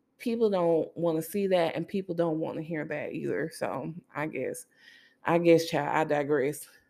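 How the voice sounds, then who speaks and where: A woman with a fairly low pitch and a dark, mellow tone is heard on a very clean recording with a silent background. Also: ordinary pitch variation, moderate pace. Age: 20s. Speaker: podcast host. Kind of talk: angry rant about social media culture. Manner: sassy, exasperated venting with swearing and laughs; preachy, emphatic, addressing listeners as 'baby'.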